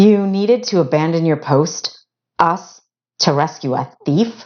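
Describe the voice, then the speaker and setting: This put-on character voice sits at a middle pitch and sounds strained. It moves at a fairly slow pace. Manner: hurt, accusing, incredulous.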